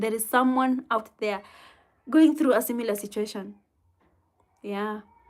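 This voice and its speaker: A woman's fairly high voice with a Kenyan accent, fairly even intonation and a moderate pace, on a very clean recording with a silent background. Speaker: livestreamer answering viewer comments. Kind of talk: casual live chat with viewers. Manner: halting.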